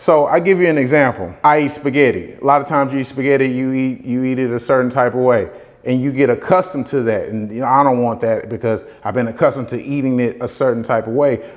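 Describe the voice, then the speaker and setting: With ordinary pitch variation, a man at a medium pitch speaks very fast. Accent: Southern US. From US South. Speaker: real estate investor and motivational vlogger. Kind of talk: motivational talk. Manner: casual, repetitive.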